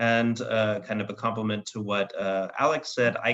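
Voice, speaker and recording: A man speaks at a moderate pace with an unremarkable speaking voice. His pitch sits in the medium range. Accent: American. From United States. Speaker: policy expert. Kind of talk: panel discussion.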